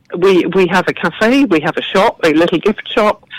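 A woman speaks with an English accent at a medium pitch and a moderate pace, her intonation lively. The sound is dry and close, with no echo. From southern England. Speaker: garden and cafe founder. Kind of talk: casual interview chat.

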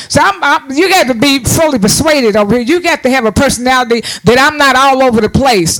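Fairly quick and animated, a man speaks at an extremely high pitch with ordinary pitch variation amid noticeable background noise. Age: 60s. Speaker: preacher. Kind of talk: sermon. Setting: church.

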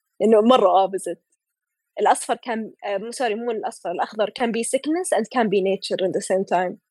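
The voice moves at a very fast pace, with a dry, close sound and no echo. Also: woman, fairly high pitch for a woman, ordinary pitch variation. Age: 20s. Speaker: illustrator. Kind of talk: casual chat.

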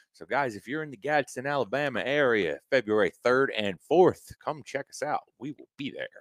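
Speaking at a moderate pace with hardly any pauses, a man with an unremarkable speaking voice and a fairly high pitch shows ordinary pitch variation and big swings in loudness, recorded with a dry, close sound and no echo. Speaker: podcast co-host. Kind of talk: casual chat.

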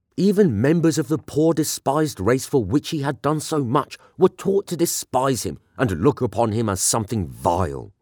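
A man with a British accent talks at a medium pitch and a moderate pace with lively intonation, the sound dry and close with no echo in a very clean recording with a silent background. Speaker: voice artist and narrator. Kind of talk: dramatic reading of a historical eulogy. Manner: solemn, reverent, elegiac delivery; rising oratorical fervor toward the close.

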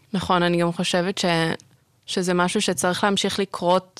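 On a very clean recording with a silent background, a woman with a plain, everyday voice talks at a medium pitch and a moderate pace. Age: 20s. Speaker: archaeology student. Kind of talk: casual chat.

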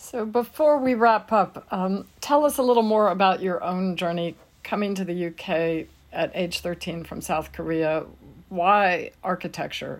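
In a very clean recording with a silent background, a woman with an ordinary speaking voice speaks at a medium pitch and a fairly slow pace, her intonation lively. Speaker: podcast co-host and editor. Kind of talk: scripted intro and interview questions.

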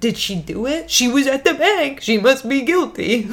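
A high-pitched put-on character voice moves at a moderate pace over light background noise. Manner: spooky.

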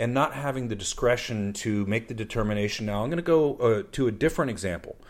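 With a normal speaking voice, a man talks at medium pitch and a fairly quick pace, his intonation lively. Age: 50s. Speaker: podcast host. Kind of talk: casual discussion podcast.

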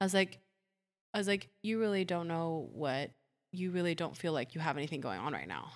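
A woman's plain, everyday voice, fairly low in pitch with ordinary pitch variation, at a fairly quick pace, in a very clean recording with a silent background. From Puerto Rico, then Ohio from age eight. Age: 30s. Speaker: photographer and aura reader. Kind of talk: casual interview chat; aura reading.

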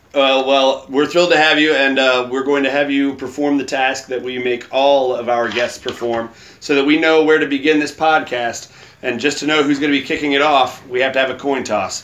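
A man speaks at a fairly quick clip in a fairly high pitch, his intonation monotone and flat yet his tone playful, with noticeable background noise behind him. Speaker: podcast host. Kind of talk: casual chat. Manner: joking, playful.

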